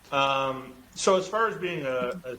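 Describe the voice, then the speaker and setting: Heard over noticeable background noise, the speaker has a Canadian Maritime accent and ordinary pitch variation. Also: man. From Eastern Canada (Halifax, Nova Scotia). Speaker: football quarterback. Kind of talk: podcast interview. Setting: podcast recording. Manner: loud, outgoing.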